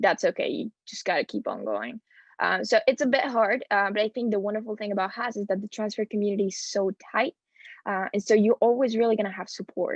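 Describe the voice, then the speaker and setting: Over a quiet background, a woman with a Spanish accent talks at a fairly quick pace with fairly even intonation. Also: dry, close sound with no echo. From Spain. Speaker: student panelist. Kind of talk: panel talk.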